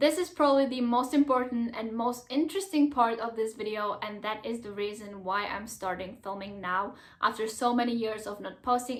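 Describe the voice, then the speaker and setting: With a Czech accent, a fairly high-pitched woman talks at a fairly quick pace, using ordinary pitch variation and hardly any pauses. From Czech Republic. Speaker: YouTuber. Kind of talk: vlog talking to camera. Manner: animated.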